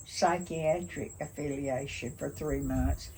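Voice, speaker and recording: A woman keeps a moderate pace while noticeable background noise fills the recording. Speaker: retired nurse. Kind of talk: interview answer. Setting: outdoors.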